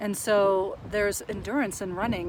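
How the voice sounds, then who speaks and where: A woman's voice over noticeable background noise. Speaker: counselor and mindfulness vlogger. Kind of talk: monologue on mental health.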